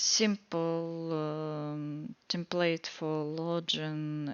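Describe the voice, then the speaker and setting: A woman with a Russian accent speaks in a very deep, low pitch. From Russia (Moscow). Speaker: student presenting a coding project. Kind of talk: project walkthrough tutorial. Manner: halting, many fillers.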